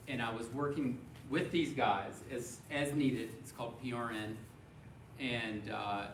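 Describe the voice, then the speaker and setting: A man's medium-pitched voice in an American accent at a fairly slow pace, with audible room echo and noticeable background noise. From US South, Memphis, Tennessee. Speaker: physician. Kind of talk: speech to a club. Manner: monotone.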